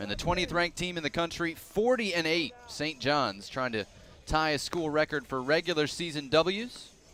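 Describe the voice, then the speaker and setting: A man with a fairly high voice talks at a moderate speed, his intonation lively, while music plays underneath. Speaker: baseball play-by-play announcer. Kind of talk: broadcast open and game intro, play-by-play voice.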